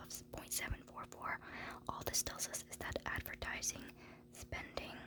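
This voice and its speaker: Noticeable background noise fills the clip. A woman whispers at a moderate pace. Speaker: university student; ASMR creator. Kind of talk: ASMR study lecture walkthrough. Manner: soft-spoken.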